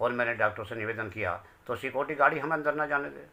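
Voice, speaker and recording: Male speech at a moderate pace with ordinary pitch variation. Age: 60s. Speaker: bereaved father. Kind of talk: testimony. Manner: emotional.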